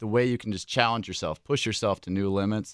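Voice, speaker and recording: A man's fairly low voice, a plain, everyday voice, with ordinary pitch variation, dry, close sound with no echo and a very clean recording over a silent background. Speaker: high school track coach. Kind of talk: radio interview.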